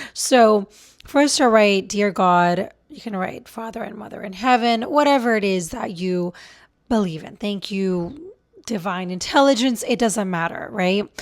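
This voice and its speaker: A plain, everyday voice moves at a fairly slow pace with ordinary pitch variation. Its loudness swings widely. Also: woman, medium pitch for a woman. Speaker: relationship coach and video creator. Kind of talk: casual vlog talk to camera. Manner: conversational with fillers.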